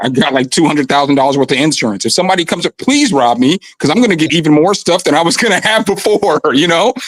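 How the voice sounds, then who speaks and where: Very fast, lively speech from a man with a fairly high pitch, very even loudness and hardly any pauses. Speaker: rapper, livestream caller. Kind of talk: casual chat.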